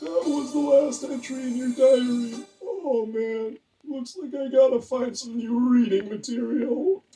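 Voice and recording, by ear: In a cartoonish character voice, a female-sounding voice speaks at a high pitch and a fairly slow pace with hardly any pauses.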